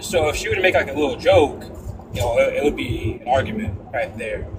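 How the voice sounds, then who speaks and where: The speaker is a man talking at a moderate pace. Noticeable background noise can be heard behind him. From Connecticut. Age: 20s. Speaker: panel participant. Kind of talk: casual chat. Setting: live stream panel. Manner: halting.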